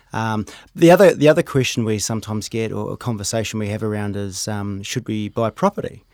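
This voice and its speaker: Speech comes very fast with a New Zealand accent, ordinary pitch variation and big swings in loudness. The sound is dry and close with no echo, on a very clean recording with a silent background. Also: man, fairly low pitch for a man. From New Zealand, Rotorua. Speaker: wealth manager. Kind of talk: casual interview. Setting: studio.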